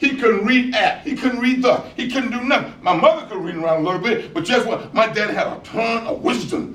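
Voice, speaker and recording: In a room with audible echo and noticeable background noise, a man with an American accent talks at a fairly quick pace in an extremely high pitch. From US South, rural South Carolina. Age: 70s. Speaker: motivational speaker. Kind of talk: keynote speech. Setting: school graduation ceremony with audience. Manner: animated.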